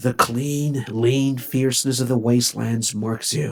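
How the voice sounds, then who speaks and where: Using a put-on character voice, a man speaks at a moderate pace in a very clean recording with a silent background. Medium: read story. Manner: sorrowful, gentle.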